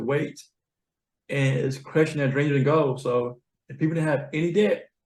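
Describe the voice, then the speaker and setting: The voice is somewhat breathy, with a Southern US accent, fairly even intonation and a moderate pace. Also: man. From US South. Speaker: accounting professional, money coach. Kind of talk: interview conversation. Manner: slurred.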